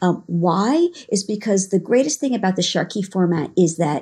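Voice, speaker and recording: A woman with a New York accent speaks at medium pitch, somewhat breathy and dark, mellow in tone, with lively intonation. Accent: New York American. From New York, Long Island. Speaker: dance fitness instructor. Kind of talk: casual interview. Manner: hesitant, many fillers.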